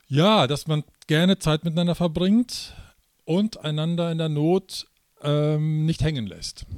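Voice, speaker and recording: Very slowly, a man talks at a fairly high pitch with ordinary pitch variation. The sound is dry and close, with no echo. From Münsterland, Germany. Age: 40s. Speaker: pastor. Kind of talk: interview. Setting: conference venue. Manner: hesitant with fillers.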